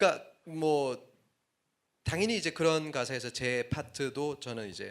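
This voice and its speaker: A man talks with a fairly high pitch. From Korea, Daegu. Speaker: hip-hop musician. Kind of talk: talk at a lecture concert.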